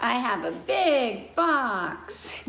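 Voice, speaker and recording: A woman puts on a character voice, pitched high. Light background noise runs underneath. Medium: read story.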